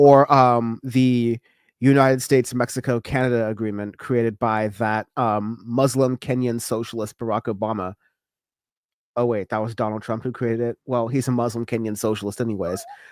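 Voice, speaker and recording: The voice speaks in a monotone with flat intonation and an American accent, the sound dry and close with no echo. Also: man, medium pitch for a man, moderate pace, very clean recording, silent background. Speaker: political news show host. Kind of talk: casual political commentary. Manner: halting, many fillers; sarcastic.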